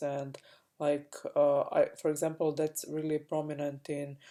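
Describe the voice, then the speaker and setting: A woman with a Croatian accent speaks at a fairly slow pace in a very deep, low pitch with a dark, mellow tone. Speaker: spiritual coach. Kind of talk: personal vlog monologue. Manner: halting, many fillers.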